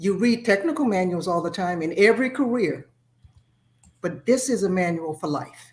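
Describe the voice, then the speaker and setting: A woman talks at a moderate pace in a normal speaking voice of medium pitch. Her intonation is lively. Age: 60s. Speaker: author and former school principal. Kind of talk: interview. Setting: video call.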